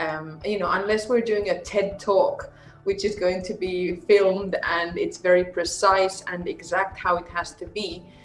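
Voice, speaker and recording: Music plays in the background as a woman with a Finnish accent speaks at a medium pitch with fairly even intonation. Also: moderate pace. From Andalusia, Spain (multilingual upbringing). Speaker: communication and public speaking coach. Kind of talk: casual interview chat.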